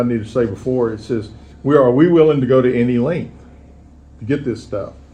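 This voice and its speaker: A man speaks with a Texan accent and fairly even intonation. Some room echo can be heard. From Texas. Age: 70s. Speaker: recovering alcoholic speaker. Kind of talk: recovery talk. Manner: halting.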